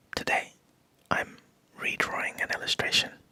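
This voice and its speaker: A man whispers at a moderate pace. There is noticeable background noise behind him. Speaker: digital artist. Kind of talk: ASMR art commentary. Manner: whispered.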